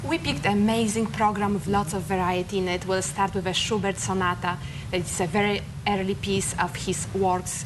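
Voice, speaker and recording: Amid noticeable background noise and audible room echo, a woman talks at a fairly quick pace, keeping her medium pitch fairly even in intonation. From Poland. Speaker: classical musician. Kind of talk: interview.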